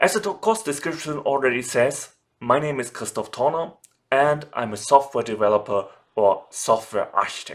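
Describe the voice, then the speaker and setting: Very wide pitch swings mark this voice with a German accent. The pace is moderate. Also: man, fairly high pitch for a man. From Germany. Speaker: software developer and online course instructor. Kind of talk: tutorial. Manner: formal.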